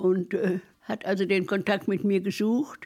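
A woman's medium-pitched voice with a dark, mellow tone, fairly even intonation and a fairly slow pace. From Trier, Rhineland-Palatinate (Mosel region). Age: 90s. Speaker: retired poet and musician. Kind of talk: interview, life story.

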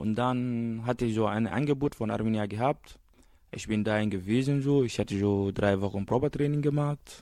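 An ordinary speaking voice at a moderate pace. It has ordinary pitch variation. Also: man. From Guinea. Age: young. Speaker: refugee youth. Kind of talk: radio interview.

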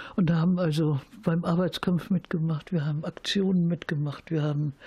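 Her fairly low, dark, mellow voice is somewhat breathy, as this woman speaks at a moderate pace with fairly even intonation. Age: 70s. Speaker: peace activist. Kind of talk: interview storytelling. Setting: at home.

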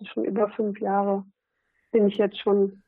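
Here is a woman with a medium pitch. She talks at a fairly slow pace. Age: 40s. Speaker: SUP fitness trainer. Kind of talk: casual interview.

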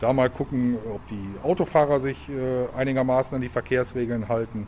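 The man speaks at a fairly quick pace in a medium-pitched voice. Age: 50s. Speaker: police officer. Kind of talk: interview answering children's questions. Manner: hesitant with fillers.

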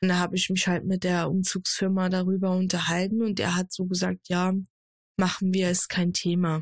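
A woman's somewhat breathy, medium-pitched voice at a moderate pace, monotone and flat, in a very clean recording with a silent background. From Germany, Saarland. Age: 20s. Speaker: streamer and content creator. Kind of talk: casual chat.

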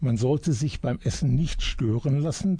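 Speaking at a fairly slow pace, a man with a medium pitch and a dark, mellow tone sounds somewhat breathy, his pitch varying in an ordinary way. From Germany, Iserlohn (Sauerland). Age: 60s. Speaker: retired journalist. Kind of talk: radio interview. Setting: radio studio.

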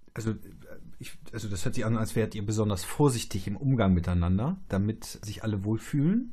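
A man's fairly low, dark, mellow voice, somewhat breathy, with ordinary pitch variation at a fairly quick pace. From Germany, Polish family household. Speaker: podcast host and theologian. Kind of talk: casual interview chat.

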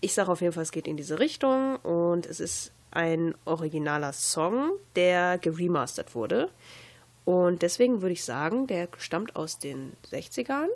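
On a very clean recording with a silent background, a woman with an unremarkable speaking voice talks in a fairly low pitch with lively intonation. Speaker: campus radio host. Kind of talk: casual chat.

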